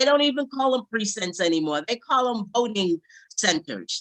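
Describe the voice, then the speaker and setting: Speaking with an American accent, a woman uses a high pitch and a passionate tone, with lively intonation at a moderate pace. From New York (Brooklyn). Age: 70s. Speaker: civil rights organization branch president. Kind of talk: panel talk.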